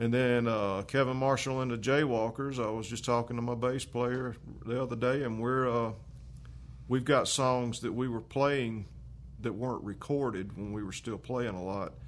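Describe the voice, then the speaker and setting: Speech in a Carolinas accent, with fairly even intonation, a moderate pace and audible room echo. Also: man, medium pitch for a man. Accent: Southern US (Carolinas). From US South, Lancaster, South Carolina. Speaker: musician and guitar maker. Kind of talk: casual chat.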